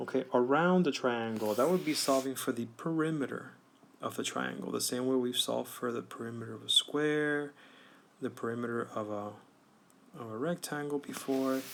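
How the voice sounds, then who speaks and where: The speaker is a man with a normal speaking voice at a medium pitch. He keeps a moderate pace and ordinary pitch variation. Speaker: math teacher. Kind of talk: tutorial.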